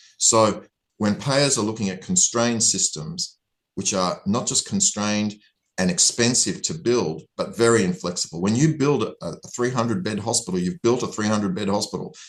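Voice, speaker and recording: Over a quiet background, a man with an Australian accent speaks at a medium pitch and moderate pace with lively intonation. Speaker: hospital-at-home physician. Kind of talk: interview.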